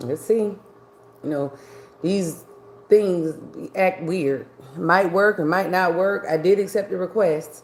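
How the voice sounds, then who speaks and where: A woman with an American accent speaks at a very slow pace and a medium pitch, leaving long, frequent pauses, with ordinary pitch variation and noticeable background noise. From New York. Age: 60s. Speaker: livestreamer. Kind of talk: casual livestream chat. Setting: live video stream.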